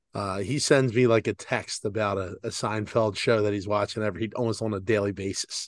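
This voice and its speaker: Against a quiet background, a man with a fairly low pitch talks at a fairly quick pace with hardly any pauses and fairly even intonation. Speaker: podcast co-host. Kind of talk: casual chat. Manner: talking out the side of his mouth.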